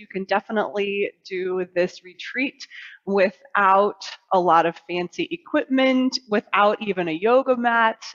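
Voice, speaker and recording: Her intonation lively, a woman speaks with a fairly high pitch. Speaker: yoga instructor and life coach. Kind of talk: yoga class instruction. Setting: studio.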